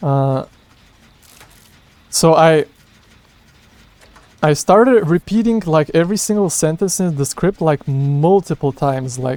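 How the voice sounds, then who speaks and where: The speaker has a non-native accent and ordinary pitch variation, heard in a dry, close sound with no echo. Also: man. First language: not English. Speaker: gaming youtuber. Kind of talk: casual unscripted vlog talk. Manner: hesitant, many fillers and restarts.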